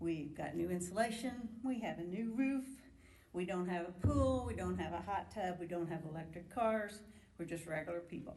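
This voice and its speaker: With an American accent, a woman speaks at a moderate pace in a fairly low pitch with ordinary pitch variation, over noticeable background noise and audible room echo. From US Midwest, Indianapolis area. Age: 70s. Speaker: retired nurse, member of the public. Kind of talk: public hearing testimony. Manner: animated.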